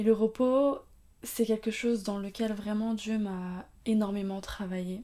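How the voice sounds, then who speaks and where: This woman's voice sits fairly high, with a dark, mellow tone. She talks at a very slow pace with fairly even intonation. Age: 20s. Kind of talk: faith-based talk on mental health. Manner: casual, hesitant with many fillers.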